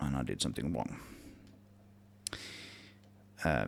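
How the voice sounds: Speaking at a fairly slow pace, a man talks with vocal fry.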